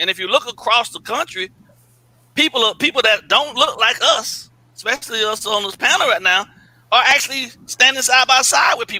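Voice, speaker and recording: A man speaks in a raised, projected voice at a moderate pace with lively intonation, the sound dry and close with no echo. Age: 40s. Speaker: sports channel panelist. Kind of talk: panel discussion.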